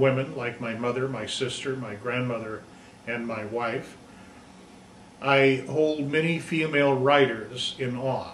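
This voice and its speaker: A man with an American accent speaks at a fairly slow pace in a medium pitch. The room echo is audible and background noise is noticeable. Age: 60s. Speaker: high school teacher. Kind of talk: personal presentation. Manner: halting.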